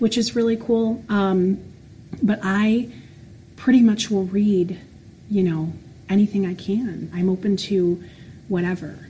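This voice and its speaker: Using an American accent, a woman speaks very slowly at a medium pitch in a dark, mellow, somewhat breathy tone with ordinary pitch variation. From Florida. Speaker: special education teacher. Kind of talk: casual interview.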